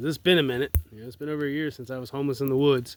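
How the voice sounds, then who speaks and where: Recorded very cleanly against a silent background, a man with an Appalachian accent talks at a medium pitch. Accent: Southern US (Appalachian North Carolina). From US South, Asheville, North Carolina. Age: 20s. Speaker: vlogger. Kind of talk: personal video message. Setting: outdoors in the woods at night by a fire. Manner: halting, many fillers.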